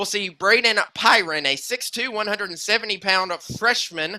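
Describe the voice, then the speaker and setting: At a moderate pace, a man uses a raised, projected voice pitched high. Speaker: sports play-by-play announcer. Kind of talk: live sports commentary. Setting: high school gym, live broadcast. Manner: loud.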